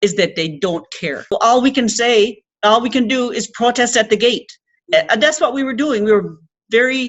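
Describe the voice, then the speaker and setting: Fairly high in pitch with ordinary pitch variation, a woman with a Labrador accent speaks at a moderate pace. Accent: Labrador Canadian English. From coastal Labrador, Canada. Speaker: Inuit land protector and activist. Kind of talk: speech to an audience.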